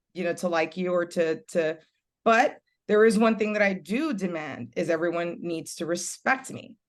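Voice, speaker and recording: A woman with a fairly low pitch speaks in a Californian accent, with lively intonation at a moderate pace. The background is quiet. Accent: Californian American English. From Los Angeles, Puerto Rican family. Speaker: reality TV personality and business owner. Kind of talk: interview conversation. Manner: loud.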